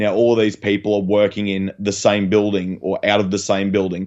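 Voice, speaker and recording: A man's fairly low, flat monotone voice with an Australian accent. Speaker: waste industry podcast co-host. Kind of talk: casual chat. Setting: video call. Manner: halting.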